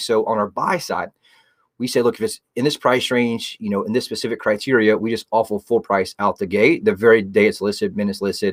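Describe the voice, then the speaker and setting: In a dry, close recording with no echo and a silent background, very clean throughout, a man talks at a very fast pace. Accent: American. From South Carolina, Myrtle Beach. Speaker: real estate agent and radio show host. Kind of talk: radio talk show interview. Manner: intense.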